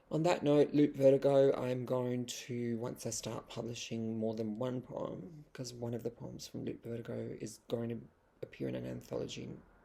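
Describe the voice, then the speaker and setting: Moderate pace, with an Australian accent. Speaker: vlogger and poet. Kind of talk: casual vlog monologue.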